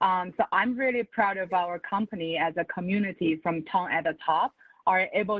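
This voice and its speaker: A woman with a non-native accent speaks at a moderate pace in a fairly low voice. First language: not English. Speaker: finance professional. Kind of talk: panel webinar.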